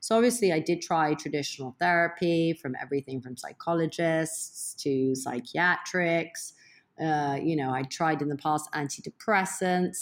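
A woman with an American accent and a plain, everyday voice speaks with ordinary pitch variation and hardly any pauses in a very clean recording with a silent background. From England and abroad (Boston, Milan, London). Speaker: entrepreneur and former DJ. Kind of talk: interview conversation.

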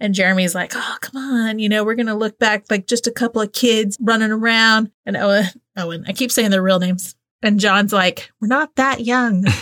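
With a Southern US accent, a woman talks at a moderate pace in a fairly high voice with fairly even intonation, recorded very cleanly against a silent background with a dry, close sound and no echo. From US South. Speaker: podcast host. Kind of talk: casual chat.

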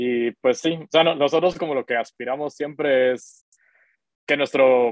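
Here a man uses a normal speaking voice. His pitch is medium and his intonation fairly even. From Guatemala. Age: 30s. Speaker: tech startup founder. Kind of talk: interview.

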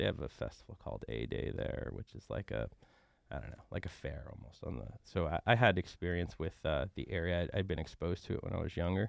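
With vocal fry and a very deep, low pitch, a man talks at a fairly quick pace with lively intonation. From upstate New York (Rhinebeck). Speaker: chef and restaurant owner. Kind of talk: interview.

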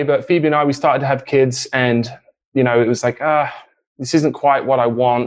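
A man with an English accent talks at a fairly quick pace. His voice sits fairly high. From England. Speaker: real estate investor, former musician. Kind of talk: interview.

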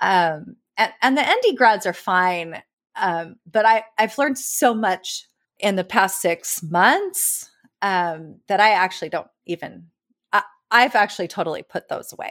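A woman with an American accent speaks at a fairly slow pace and medium pitch, with ordinary pitch variation, on a very clean recording with a silent background. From California. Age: 40s. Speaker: amateur landscape photographer. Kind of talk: casual interview conversation. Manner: halting, many fillers and restarts.

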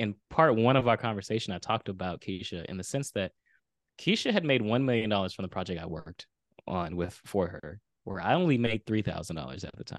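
A man with a plain, everyday voice and a fairly low pitch talks at a fairly quick pace with lively intonation and big swings in loudness, the sound dry and close with no echo and the background quiet. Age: 30s. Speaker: video storyteller and author. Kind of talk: interview storytelling.

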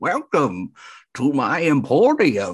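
A man performs a put-on character voice in a theatrical tone, fairly high in pitch. His pitch swings very widely over a quiet background. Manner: welcoming, theatrical.

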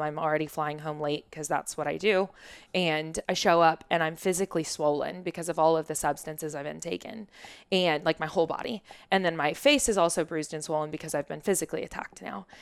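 In a very clean recording with a silent background, a woman with a very deep, low pitch talks at a very fast pace with fairly even intonation. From Oklahoma (Shawnee), US. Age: 30s. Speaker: wellness coach, former realtor. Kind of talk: interview, personal story.

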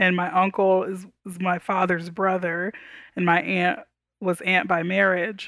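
In a very clean recording with a silent background, a woman with an American accent speaks at a medium pitch and a fairly slow pace, her intonation monotone and flat. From Texas, Houston. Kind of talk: interview conversation.

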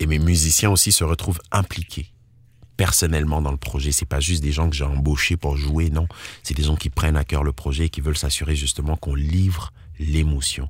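A man's very deep, low, somewhat breathy voice at a fairly quick pace, with fairly even intonation and very even loudness. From Ivory Coast. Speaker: slam and soul musician. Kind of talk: interview.

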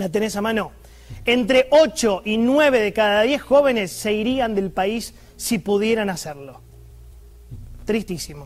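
Using a high pitch and an animated tone with ordinary pitch variation, a man speaks at a fairly slow pace with long, frequent pauses. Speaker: political commentator. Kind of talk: opinion monologue.

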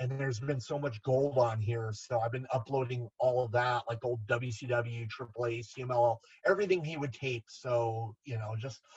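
A man speaks with an American accent at a medium pitch. His voice is somewhat breathy. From Southern California (Garden Grove). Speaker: wrestling figure collector. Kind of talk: casual chat.

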